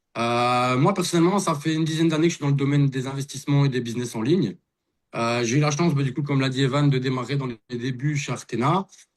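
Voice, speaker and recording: This man talks at a very fast pace in a fairly high voice with ordinary pitch variation. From Belgium. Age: 30s. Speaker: investor and network marketer. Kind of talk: testimony. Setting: video call.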